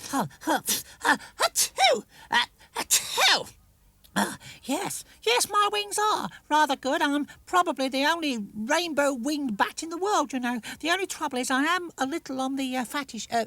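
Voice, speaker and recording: In a put-on character voice pitched high, the speaker moves at a moderate pace with long, frequent pauses. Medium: read story. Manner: fussy, bumbling.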